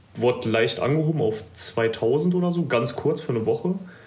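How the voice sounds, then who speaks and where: A somewhat breathy voice at a moderate pace, with ordinary pitch variation and audible room echo. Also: man. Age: 20s. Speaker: bodybuilding competitor. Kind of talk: casual interview.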